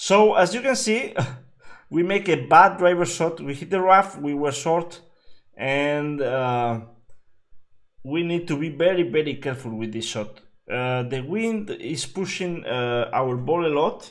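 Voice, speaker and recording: With audible room echo, a man uses a fairly high pitch and lively intonation at a fairly slow pace. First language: Spanish. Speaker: game streamer. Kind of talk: live gameplay commentary. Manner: halting, many fillers.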